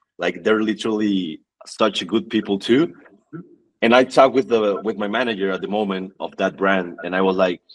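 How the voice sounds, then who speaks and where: Ordinary pitch variation and a moderate pace from a man with a fairly low pitch. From northern Mexico (Tijuana, then Monterrey). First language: Spanish. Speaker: fitness athlete and influencer. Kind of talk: podcast interview, personal story. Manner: halting, repeats words.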